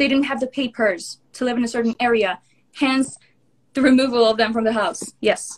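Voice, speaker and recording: Her pitch high, a woman speaks with fairly even intonation. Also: moderate pace. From northern Israel. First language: Hebrew. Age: 20s. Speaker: social media influencer. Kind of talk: heated debate. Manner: halting.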